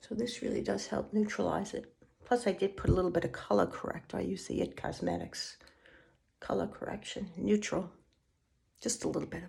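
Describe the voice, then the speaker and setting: Speaking at a fairly quick clip, a woman's voice swings widely between loud and soft. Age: 60s. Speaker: beauty vlogger. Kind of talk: tutorial. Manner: casual, chatty.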